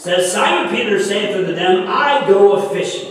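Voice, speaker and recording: With strong room echo and light background noise, a man speaks at a moderate pace in a high pitch, his pitch variation ordinary. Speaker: pastor. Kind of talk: sermon scripture reading. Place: church.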